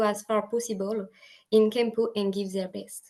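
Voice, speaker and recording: A woman in a French accent, at a moderate pace. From France. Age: 20s. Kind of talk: prepared speech. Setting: video call.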